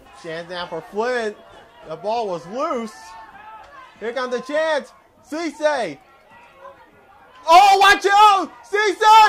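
A man's extremely high voice, very slow, with long, frequent pauses, very wide pitch swings, big swings in loudness, and crowd noise behind him. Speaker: sports play-by-play commentator. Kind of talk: live soccer play-by-play commentary. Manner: excited, energetic. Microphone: headset.

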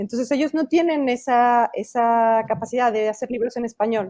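Against a quiet background, a woman with a high pitch and a dark, mellow tone speaks at a moderate pace with ordinary pitch variation. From Mexico. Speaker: children's book illustrator and author. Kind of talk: interview. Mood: warm, enthusiastic. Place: home room. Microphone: earbuds.

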